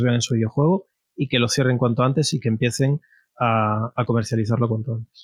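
A man speaks at a medium pitch with fairly even intonation, recorded with a dry, close sound with no echo against a quiet background. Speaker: database creator and IT professional. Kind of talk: interview. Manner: halting, many repetitions.

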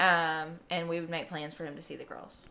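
In a plain, everyday voice, a woman talks fairly quickly at a fairly low pitch. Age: 20s. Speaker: podcast guest sharing life story. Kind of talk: casual chat.

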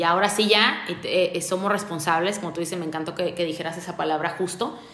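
Amid noticeable background noise and audible room echo, a woman speaks fairly quickly at a medium pitch with fairly even intonation. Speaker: podcast host. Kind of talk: casual interview; monologue to listeners.

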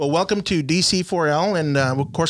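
A man at a moderate pace with an American accent, a normal speaking voice and ordinary pitch variation, on a very clean recording with a silent background. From South Texas (Rio Grande Valley). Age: 40s. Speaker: sports podcast host. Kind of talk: casual sports talk show. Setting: studio, live-streamed.

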